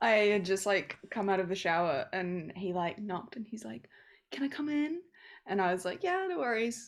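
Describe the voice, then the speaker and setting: Lively intonation and a moderate pace mark this voice with a New Zealand accent, captured on a very clean recording with a silent background. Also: woman, medium pitch for a woman. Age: 20s. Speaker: podcast co-host. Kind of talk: casual chat. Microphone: unstable internet connection.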